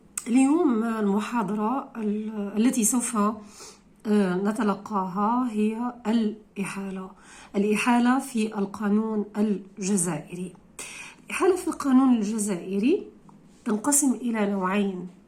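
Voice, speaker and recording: Speaking at a very slow pace, a woman uses ordinary pitch variation. The room echo is audible. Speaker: law lecturer. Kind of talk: lecture. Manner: halting.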